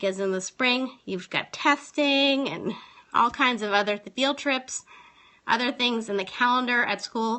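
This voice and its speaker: Her pitch fairly high and showing ordinary pitch variation, a woman speaks at a fairly slow pace in an unremarkable speaking voice. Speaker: teacher and live streamer. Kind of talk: casual live stream tips talk. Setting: phone live stream.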